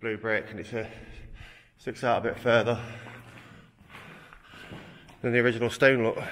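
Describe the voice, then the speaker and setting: Light background noise sits behind a man's monotone, flat intonation at a moderate pace. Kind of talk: casual exploration commentary. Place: tunnel cave. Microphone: phone near.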